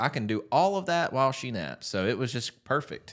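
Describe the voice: Over a very clean recording with a silent background, a man with a Southern US accent speaks at a fairly quick pace with lively intonation.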